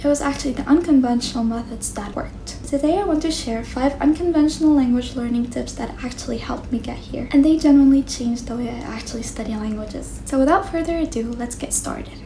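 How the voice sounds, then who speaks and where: Someone talks very fast in an Arabic accent with ordinary pitch variation over noticeable background noise. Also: woman. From Egypt. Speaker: medical student and language-learning YouTuber. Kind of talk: vlog-style talk to camera.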